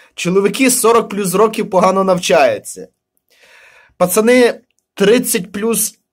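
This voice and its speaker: Over a quiet background, a man with a high voice speaks at a very slow pace, with long, frequent pauses. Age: 30s. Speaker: video blogger on news and politics; video blogger on news. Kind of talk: solo video commentary. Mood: critical, ironic. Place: home room. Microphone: phone near.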